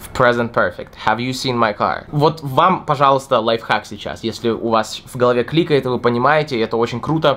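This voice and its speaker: Moderate in pace, a man speaks with ordinary pitch variation. He leaves hardly any pauses. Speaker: English teacher. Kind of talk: tutorial. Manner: unscripted, improvised. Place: home room.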